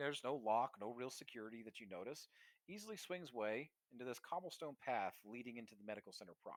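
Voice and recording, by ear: Reading aloud in a natural voice with lively intonation, the speaker is heard over a quiet background.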